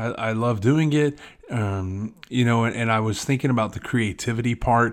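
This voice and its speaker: A man talks with ordinary pitch variation at a moderate pace. His is a normal speaking voice. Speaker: podcaster and blogger. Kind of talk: casual solo monologue. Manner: casual, rambling, filler words.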